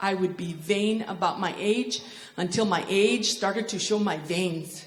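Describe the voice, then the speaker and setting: The speaker has an American accent and ordinary pitch variation. Noticeable background noise is present. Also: woman. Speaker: stand-up comedian. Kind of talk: stand-up comedy performance to a live audience. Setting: theater with live audience. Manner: comedic, conversational.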